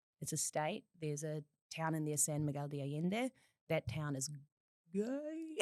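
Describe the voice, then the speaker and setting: A woman with a New Zealand accent speaks at a moderate pace in a very deep, low pitch and a dark, mellow tone, with ordinary pitch variation, long, frequent pauses and a dry, close sound free of echo. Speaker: podcast guest. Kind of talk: casual chat.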